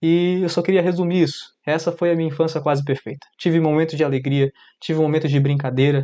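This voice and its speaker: Fairly quick, monotone speech from a man with a fairly high pitch and a dark, mellow tone, against a quiet background. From Brazil, Amapá (north). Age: 20s. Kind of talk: personal testimony. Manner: casual, direct to viewer.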